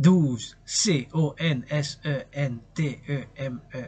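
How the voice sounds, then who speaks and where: A man speaks in a dark, mellow tone that is somewhat breathy. His intonation stays fairly even. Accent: Quebec. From Quebec. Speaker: poet, dancer, artist. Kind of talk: casual talk to camera. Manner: passionate, rambling.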